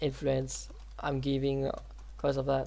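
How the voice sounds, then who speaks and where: A fairly slow pace carries the speech. The background is silent and the recording very clean. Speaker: game development tutorial creator. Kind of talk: tutorial. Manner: halting.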